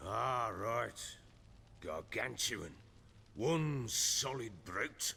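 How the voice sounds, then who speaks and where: A man in a raspy put-on character voice speaks very slowly at medium pitch with lively intonation and long, frequent pauses, over clear background noise. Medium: video game. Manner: coarse, blunt, cursing.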